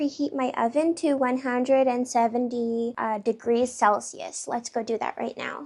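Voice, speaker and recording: A woman's high-pitched voice with a Canadian accent. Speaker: lifestyle vlogger. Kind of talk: casual vlog chat while baking. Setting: small apartment at night.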